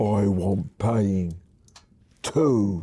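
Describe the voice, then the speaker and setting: Putting on a character voice, a man sounds husky at a fairly low pitch. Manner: demanding, menacing.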